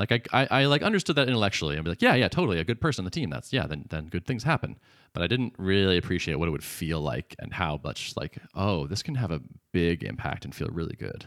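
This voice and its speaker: A man's very deep, low voice at a very fast pace, with very wide pitch swings and vocal fry, on a very clean recording with a silent background. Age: 40s. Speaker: podcast co-host and startup founder. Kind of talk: casual chat.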